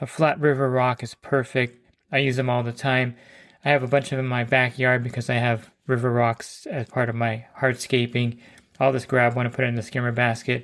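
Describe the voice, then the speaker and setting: On a very clean recording with a silent background, a man speaks fairly quickly in a flat monotone. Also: medium pitch for a man. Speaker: pool service professional. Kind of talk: tutorial. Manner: casual, conversational.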